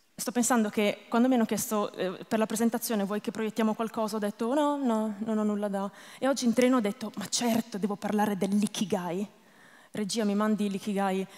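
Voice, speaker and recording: Against a quiet background, a woman talks at a fairly quick pace. Her pitch is fairly high and her intonation fairly even. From northern Italy, Lombardy. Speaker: stand-up comedian. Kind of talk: stand-up comedy. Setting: stage with audience. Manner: self-deprecating, deadpan jokes; hesitant, rambling, many fillers.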